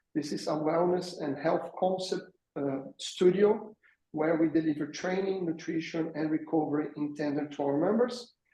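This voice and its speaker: The man's pitch is fairly high, with ordinary pitch variation. He speaks with a Brazilian accent. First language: Portuguese. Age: 40s. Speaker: fitness business founder. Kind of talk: webinar panel introduction.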